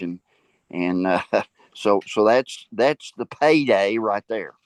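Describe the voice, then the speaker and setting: The speaker has a Tennessee accent and talks at a very slow pace. The sound is dry and close with no echo, against a quiet background. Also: man. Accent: Southern US (Tennessee). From US South. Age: 70s. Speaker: school board member and minister. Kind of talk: interview. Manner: halting, many repetitions and fillers.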